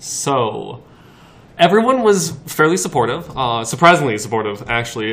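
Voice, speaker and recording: A man talks against noticeable background noise. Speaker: podcast guest. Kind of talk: casual chat.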